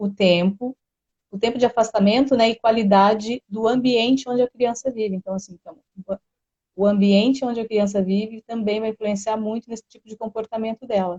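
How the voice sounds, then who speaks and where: A woman with a fairly high, somewhat breathy voice speaks at a fairly quick pace with big swings in loudness. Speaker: therapy presenter. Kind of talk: educational live stream talk. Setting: live stream. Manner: fast.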